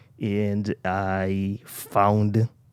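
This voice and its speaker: A man is talking. His accent is American. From US Virgin Islands, Saint Croix. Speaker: knitting and manifesting vlogger. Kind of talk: casual chat while knitting.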